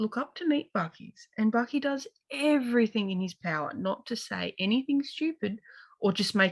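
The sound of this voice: The clip has an unforced reading voice over a quiet background.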